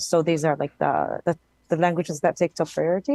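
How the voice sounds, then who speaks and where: Speaking at a fairly quick pace, a woman has a fairly low pitch and a dark, mellow tone, captured in a dry, close sound with no echo. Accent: Arabic. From Palestine. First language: Arabic. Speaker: game participant. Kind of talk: casual group chat.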